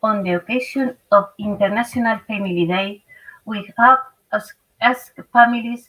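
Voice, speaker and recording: The speaker has a Spanish accent and talks at a fairly slow pace. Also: woman. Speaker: family association representative. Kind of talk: prepared statement. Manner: halting.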